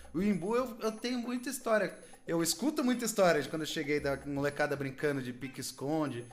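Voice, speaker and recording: This man talks at a fairly quick pace in a high pitch, his voice making very wide pitch swings. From Brazil, São Paulo state (Cotia). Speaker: podcast host. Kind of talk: casual chat.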